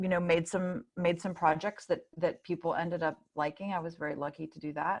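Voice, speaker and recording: A woman with a Midwestern accent and a fairly low pitch talks at a fairly quick pace with hardly any pauses. Her intonation stays fairly even while her loudness swings widely. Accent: General American (Midwest). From US Midwest (Columbus, Ohio). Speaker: artist and film director. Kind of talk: interview. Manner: fast.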